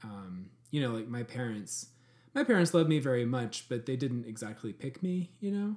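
The speaker keeps a moderate pace. The pitch swings very widely. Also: man, medium pitch for a man. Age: 30s. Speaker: podcast co-host. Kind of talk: casual chat. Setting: video call.

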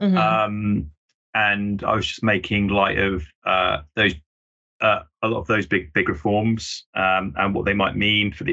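With an unremarkable speaking voice, a man with a fairly low pitch speaks at a fairly slow pace and with fairly even intonation. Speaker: news editor. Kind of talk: casual chat.

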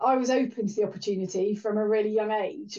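Over a quiet background, a woman speaks at a fairly quick pace in a fairly high pitch, her dark, mellow tone carrying ordinary pitch variation. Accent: Welsh. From Wales. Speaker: rail engineering director. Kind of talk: interview.

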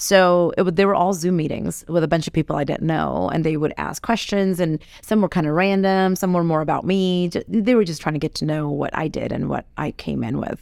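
A woman's fairly low-pitched voice, an ordinary speaking voice, fairly quick with hardly any pauses and with ordinary pitch variation. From Fiji, raised in California. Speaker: interior designer and TV co-star. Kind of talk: casual interview. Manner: warm, laughs often.

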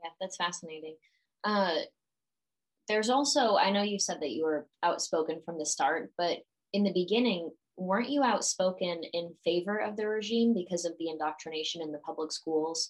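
This woman has an ordinary speaking voice, fairly low in pitch with ordinary pitch variation. She talks at a moderate pace. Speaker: podcast host. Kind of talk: interview conversation.

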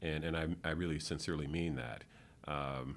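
With an American accent, this man talks at a very deep, low pitch with ordinary pitch variation and noticeable vocal fry. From Michigan. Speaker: economic development executive. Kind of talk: interview. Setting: office.

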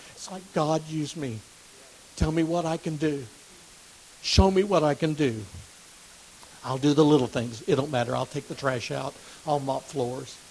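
The voice moves at a moderate pace with long, frequent pauses and ordinary pitch variation. Noticeable background noise runs throughout. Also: man, fairly high pitch for a man. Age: 60s. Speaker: lay preacher teaching Bible study. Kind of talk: Bible study lesson. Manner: halting, repeats words.

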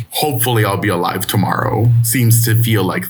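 Amid noticeable background noise, a man with a fairly low pitch speaks at a fairly quick pace. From Ciudad Juarez, Mexico. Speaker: poet and playwright. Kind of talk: poetry reading.

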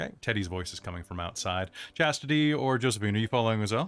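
The intonation moves in a lively way. It comes from an unforced reading voice.

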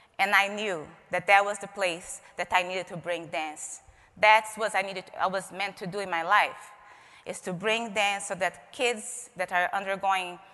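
Speaking in a Portuguese accent, a woman keeps a moderate pace. Her intonation is fairly even. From Brazil, Rio de Janeiro. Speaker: expressive arts therapist. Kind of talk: keynote talk. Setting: stage with audience.

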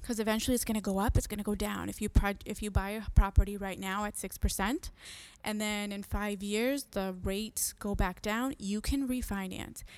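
A woman speaks in a normal speaking voice, medium in pitch, at a moderate pace. Her intonation is fairly even, and the recording is very clean with a silent background. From Massachusetts (Merrimack Valley), Puerto Rican family. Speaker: real estate agent, podcast host. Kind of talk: casual monologue. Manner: frequent fillers (um).

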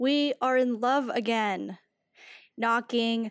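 A woman mumbling at a very slow pace, fairly high in pitch with fairly even intonation, the sound dry and close without echo. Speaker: poet and writer. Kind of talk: casual interview chat with poetry reading. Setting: video call. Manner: mumbler, working to enunciate more.

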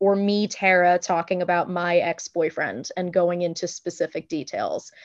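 Recorded with a dry, close sound and no echo against a quiet background, a woman at medium pitch talks at a moderate pace in a plain, everyday voice. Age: 30s. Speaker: singer-songwriter. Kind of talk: casual chat.

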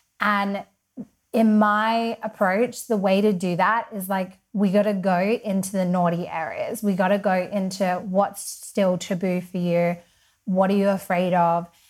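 In an Australian accent, a woman talks at a fairly slow pace and a medium pitch. Her intonation is monotone and flat on a very clean recording with a silent background. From Western Australia (Perth). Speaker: women's empowerment coach, podcaster. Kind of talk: casual interview chat.

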